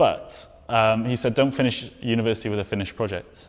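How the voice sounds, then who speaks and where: A man with a Welsh accent, very fast pace, fairly even intonation. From Wales. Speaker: documentary photographer. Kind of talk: interview answer.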